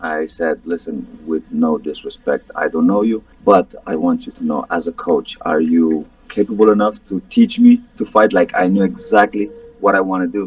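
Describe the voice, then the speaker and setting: A man at a moderate pace with a Romanian accent, music in the background. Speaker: MMA fighter. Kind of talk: interview. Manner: halting, repetitive.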